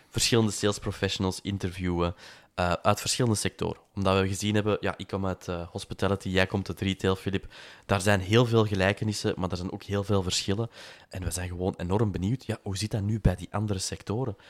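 A man talks at a very fast pace with monotone, flat intonation. The sound is dry and close with no echo, on a very clean recording with a silent background. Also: fairly low pitch for a man. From Antwerp, Belgium. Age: 30s. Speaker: podcast co-host, hospitality sales director. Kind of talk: casual chat. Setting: home attic recording.

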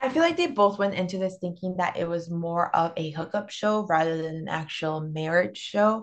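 At a moderate pace with hardly any pauses, a woman talks in a fairly low pitch with ordinary pitch variation. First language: Spanish. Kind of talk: casual chat. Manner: animated, joking.

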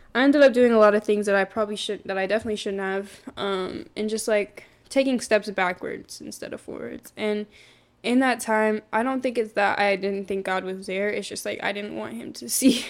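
Speaking at a fairly quick pace, a woman has medium pitch and a normal speaking voice. The recording is very clean, with a silent background. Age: 20s. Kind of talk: testimony.

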